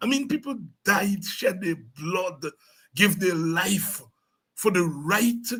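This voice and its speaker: Loud and at a very slow pace, a man talks in a high pitch. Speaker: politician. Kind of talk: interview. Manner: halting.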